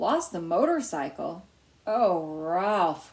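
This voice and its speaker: A woman's put-on character voice at a medium pitch, delivered at a very slow pace. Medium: read story. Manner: warm, motherly.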